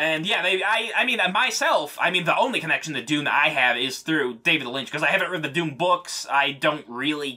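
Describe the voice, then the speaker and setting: A man with ordinary pitch variation talks fairly quickly while noticeable background noise plays behind him. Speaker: podcast co-host. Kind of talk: casual chat.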